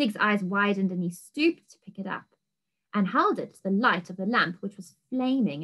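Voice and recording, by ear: Reading aloud in a natural voice with ordinary pitch variation over a quiet background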